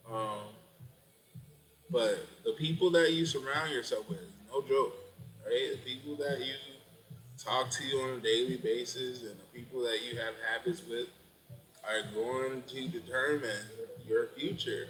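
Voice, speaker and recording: Amid noticeable background noise, a man speaks at a moderate pace with long, frequent pauses. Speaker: vlogger and business consultant. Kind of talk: casual livestream monologue. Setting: Facebook live at computer.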